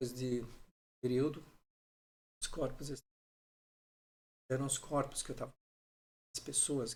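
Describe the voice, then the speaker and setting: Breathy to a degree, a man speaks at a medium pitch in a monotone, flat delivery. He goes at a fairly slow pace with long, frequent pauses. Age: 60s. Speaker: pastor. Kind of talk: sermon. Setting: livestream.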